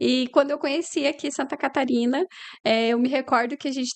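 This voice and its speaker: A woman with a Paraná accent speaks at a fairly quick pace with ordinary pitch variation against a quiet background. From Paraná, Brazil (Umuarama, interior). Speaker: lawyer and business owner. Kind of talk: interview conversation.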